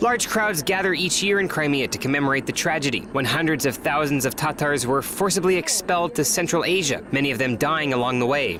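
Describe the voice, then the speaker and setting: A man's fairly high voice with lively intonation, a fairly quick pace, hardly any pauses and very even loudness, over noticeable background noise. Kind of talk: TV news narration.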